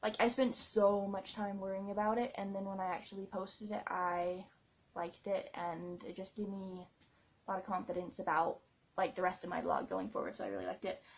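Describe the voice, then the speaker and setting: A woman speaks at a fairly quick pace and sounds somewhat breathy. Her loudness swings widely. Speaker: vlogger and blogger. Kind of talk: casual vlog Q&A. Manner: fast; animated.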